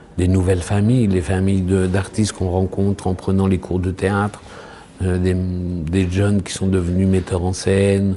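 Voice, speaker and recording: With noticeable background noise, a man with a very deep, low pitch speaks at a fairly slow pace in a monotone, flat intonation. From French provinces. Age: 60s. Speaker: actor and poet. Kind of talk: interview. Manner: halting.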